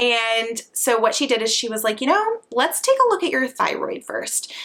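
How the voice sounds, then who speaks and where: A bright, sharp tone carries the speech. It comes from a woman. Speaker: lifestyle vlogger, mother. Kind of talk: casual vlog talk to camera. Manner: chatty.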